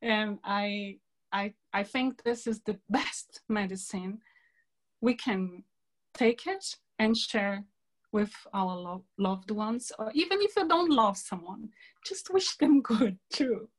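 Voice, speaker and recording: A woman speaks very slowly in a fairly high, somewhat breathy voice. Her pitch varies in an ordinary way. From Brazil. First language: Portuguese. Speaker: environmentalist and peace speaker. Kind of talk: online talk to a women's group. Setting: video call.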